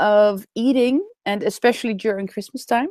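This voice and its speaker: This woman speaks with a Dutch accent. Her pitch varies in an ordinary way. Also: dry, close sound with no echo. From Netherlands. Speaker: raw food and vegan speaker. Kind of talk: webinar interview. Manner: hesitant, with fillers.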